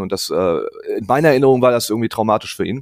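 Very fast speech from a man at a medium pitch, with a dry, close sound and no echo. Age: 30s. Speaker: bereaved brother of a suicide victim. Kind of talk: interview testimony. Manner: halting, many fillers.

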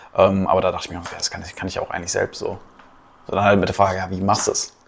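This man talks at a very fast pace. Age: 20s. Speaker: business consultant. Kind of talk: casual chat.

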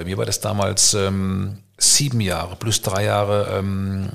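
A man speaks in an ordinary speaking voice. His pitch is fairly low and his intonation fairly even. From Germany, Karlsruhe (Baden). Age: 50s. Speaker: entrepreneur and networker. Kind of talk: casual chat. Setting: at home dining room, evening with wine.

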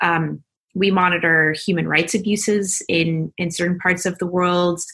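At a fairly slow pace, a woman speaks with a fairly low pitch and fairly even intonation, an ordinary speaking voice. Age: young. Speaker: planetary geologist. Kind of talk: interview.

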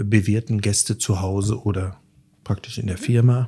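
In a very clean recording with a silent background, a man with a fairly low pitch and a dark, mellow, somewhat breathy tone speaks at a moderate pace. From Sauerland, Germany. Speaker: chef and restaurant owner. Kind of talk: casual interview. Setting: at home. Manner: hesitant with fillers.

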